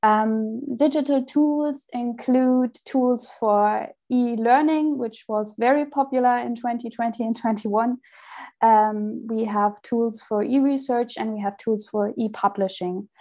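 A fairly high-pitched woman with a German accent, over a quiet background. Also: fairly even intonation, fairly slow pace. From Germany. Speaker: software engineer; presenter. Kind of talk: conference presentation. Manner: halting. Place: home room. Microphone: earbuds.

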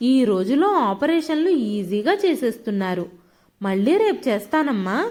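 The clip features a natural reading voice. It is a reading delivery throughout.

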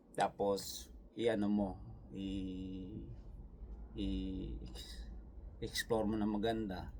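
Lively intonation in a Visayan accent at a very slow pace, with long, frequent pauses and audible room echo. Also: man, fairly low pitch for a man. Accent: Visayan-accented Tagalog, firm tone. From Visayas, Philippines. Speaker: vlogger and factory worker. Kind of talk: casual vlog, answering comments. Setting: outdoors in winter cold. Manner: animated.

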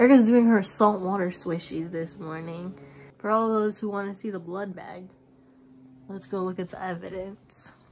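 The delivery keeps a moderate pace and fairly even intonation over light background noise. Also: woman. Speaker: vlogger caring for a friend. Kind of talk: casual vlog chat.

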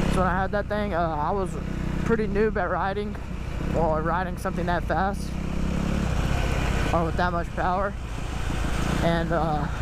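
The speaker goes at a moderate pace with long, frequent pauses. The sound is dry with no echo, over loud background noise. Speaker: rider vlogger. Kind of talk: casual vlog chat. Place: motorbike. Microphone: helmet.

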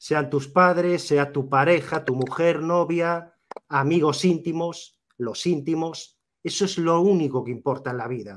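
Against a quiet background, a man with a fairly high voice speaks at a fairly slow pace with ordinary pitch variation. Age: 40s. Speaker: YouTuber. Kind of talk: interview. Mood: reflective, personal storytelling. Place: home room. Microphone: video call.

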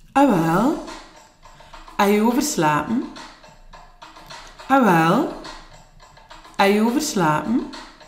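Long, frequent pauses break up the very slow speech, with audible room echo and faint music in the background. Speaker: office worker in a scene. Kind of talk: language-learning dialogue. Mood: teasing question. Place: office.

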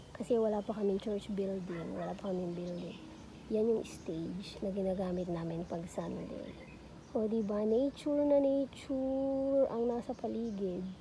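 A woman of medium pitch talks at a moderate pace with ordinary pitch variation, in an unremarkable speaking voice. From Batangas, Philippines. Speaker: vlogger, pastor's wife and mother. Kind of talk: casual vlog tour. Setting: outdoors in backyard. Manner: relaxed, conversational.

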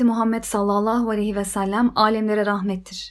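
At a moderate pace, a woman with a plain, everyday voice speaks at a fairly high pitch in a very clean recording with a silent background. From Ukraine, Kyiv. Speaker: religious convert. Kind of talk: personal testimony.

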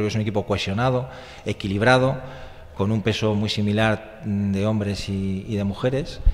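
In an ordinary speaking voice, a man talks at a fairly slow pace, his pitch fairly low and his intonation fairly even. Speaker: political candidate; candidate. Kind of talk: radio interview. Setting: radio studio, live. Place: studio.

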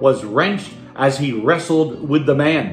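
A man at a moderate pace, with audible room echo and faint music in the background. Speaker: pastor. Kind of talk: online sermon. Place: home room. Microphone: phone near.

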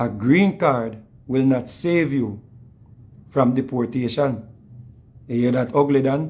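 Speaking at a very slow pace with a Jamaican accent, a man sounds somewhat breathy and leaves long, frequent pauses. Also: ordinary pitch variation. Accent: Jamaican patois. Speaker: online show host. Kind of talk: casual chat. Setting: video call. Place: home room. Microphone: phone near.

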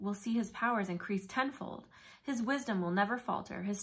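An unforced reading voice is heard here.

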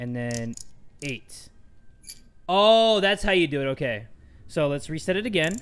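An animated tone with very wide pitch swings, a fairly slow pace and long, frequent pauses. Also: man. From Thai heritage. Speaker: gaming youtuber. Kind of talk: let's play commentary. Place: home room.

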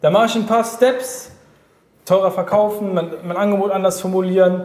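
Audible room echo surrounds a man talking at a moderate pace, his high pitch held in fairly even intonation. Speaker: business coach. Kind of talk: interview answer. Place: office.

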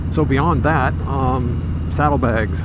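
A man speaks with ordinary pitch variation over loud background noise. The sound is dry, with no echo. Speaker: motorcycle vlogger. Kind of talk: casual vlog chat. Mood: relaxed, conversational. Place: motorbike.

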